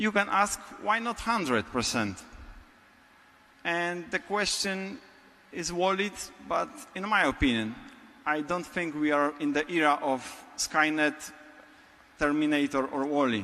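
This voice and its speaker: Pausing long and often, a man with a Polish accent speaks fairly slowly at a fairly high pitch with lively intonation. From Poland. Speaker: business technology architect. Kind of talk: conference talk. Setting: stage with audience.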